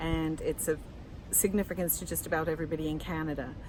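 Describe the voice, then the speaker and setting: This woman's voice carries audible room echo. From England, Lancashire-born, moved around (RAF family). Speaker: media and communications officer, author, passer-by interviewed. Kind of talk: impromptu street interview. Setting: outdoors in front of a building under construction.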